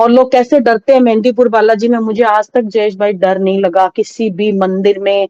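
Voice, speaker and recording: In a dry, close sound with no echo, a woman with a fairly high pitch and a dark, mellow tone speaks with fairly even intonation. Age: 50s. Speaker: devotee sharing experiences. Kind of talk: testimony.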